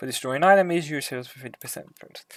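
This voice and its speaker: Varying his pitch in an ordinary way, a man rattles along at a very fast pace. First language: Hungarian. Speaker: gaming YouTuber. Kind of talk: casual commentary review.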